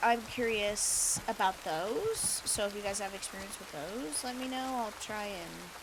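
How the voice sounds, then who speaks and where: Speaking at a medium pitch with hardly any pauses, a woman is heard over noticeable background noise and audible room echo. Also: ordinary pitch variation, fairly slow pace. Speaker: gaming streamer. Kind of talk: casual chat. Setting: live stream. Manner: chatty, rambling.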